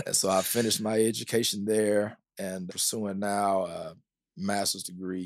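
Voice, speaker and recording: A man with an American accent talks at a moderate pace in an ordinary speaking voice, his pitch fairly low, on a very clean recording with a silent background. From US South, small-town Kentucky. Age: 40s. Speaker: pastor. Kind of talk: podcast interview conversation.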